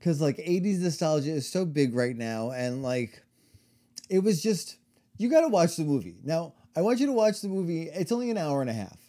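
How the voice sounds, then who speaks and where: On a very clean recording with a silent background, a man with an American accent, a high pitch and a dark, mellow tone talks at a fairly quick pace with very wide pitch swings. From New York. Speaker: podcast co-host. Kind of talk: storytelling; casual chat.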